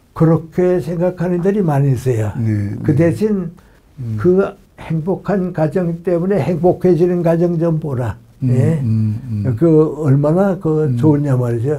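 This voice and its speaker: At a very slow pace, a man with a dark, mellow tone speaks using lively intonation. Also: fairly high pitch for a man. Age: 80s+. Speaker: philosopher, professor. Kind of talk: interview answer.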